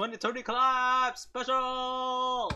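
A man's raised, projected voice, extremely high in pitch, with a bright, sharp and upbeat tone. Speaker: voice actor. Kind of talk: casual reaction commentary. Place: home room. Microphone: webcam.

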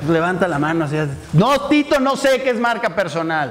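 A man at a fairly slow pace, with very wide pitch swings. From Mexico, Morelia (Michoacán); Michoacán, Mexico. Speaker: entrepreneurship speaker; workshop trainer. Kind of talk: interactive workshop talk. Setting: live audience in person. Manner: casual, conversational. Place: classroom. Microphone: handheld.

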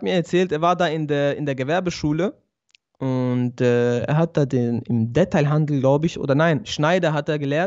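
The background stays quiet. A man talks fairly slowly, his pitch varying in an ordinary way. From Switzerland, Basel. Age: 20s. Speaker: barber and convert to Islam; guest. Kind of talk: interview, personal testimony. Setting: remote video call. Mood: calm, reflective. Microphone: good audio equipment; studio mic.

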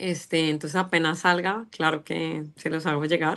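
With a quiet background, a woman talks. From Colombia, Bogotá. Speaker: singer; interviewee. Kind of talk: interview. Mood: warm, grateful, smiling. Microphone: video call.

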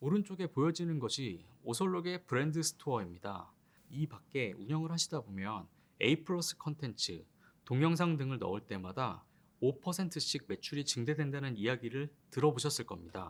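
In a very clean recording with a silent background, a man speaks at a moderate pace in a fairly high voice, his pitch swinging very widely. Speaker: e-commerce team manager. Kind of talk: conference presentation. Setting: conference talk. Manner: formal.

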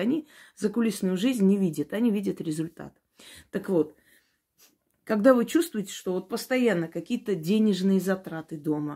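Her voice sits at a medium pitch, with a dark, mellow tone and lively intonation. The recording is very clean, with a silent background. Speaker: witch / esoteric practitioner. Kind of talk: esoteric advice talk to camera.

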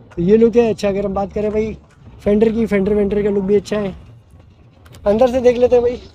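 A man talks at a fairly quick pace in a high pitch. His tone is dark and mellow, with little pitch movement.

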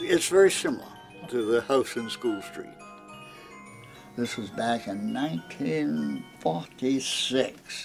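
Over music in the background, a man with a Maine accent speaks at a very slow pace with long, frequent pauses. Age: 90s. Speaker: master craftsman. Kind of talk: casual chat.

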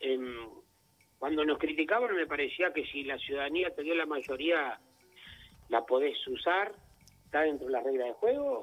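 The pitch swings very widely at a moderate pace, with music playing in the background. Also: man. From Uruguay, Cerro Largo (interior). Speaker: politician, legislator. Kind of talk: radio interview.

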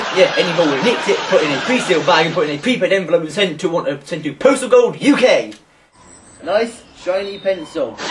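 Noticeable background noise sits behind speech in a British accent, delivered at a very fast pace with lively intonation. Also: man, high pitch for a man. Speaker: amateur comedy video presenter. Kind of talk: comedic parody review. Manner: loud; animated.

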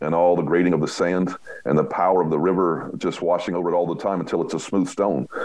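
The background is quiet. A man speaks with a very deep, low pitch. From United States. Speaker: roofer and public adjuster; podcast guest. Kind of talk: casual interview. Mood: warm, relaxed, storytelling. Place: home room. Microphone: video call.

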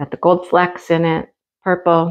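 The woman's voice sits at a fairly low pitch. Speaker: crafting hobby reviewer. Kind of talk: casual unboxing commentary. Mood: cheerful, chatty. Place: home room. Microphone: camera far.

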